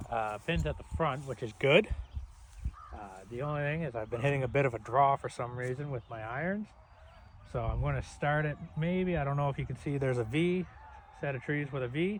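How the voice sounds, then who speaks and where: Somewhat breathy, a man with a fairly high pitch and ordinary pitch variation talks at a fairly quick pace, broken by long, frequent pauses. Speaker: golf vlogger. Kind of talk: casual vlog commentary. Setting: outdoors on golf course.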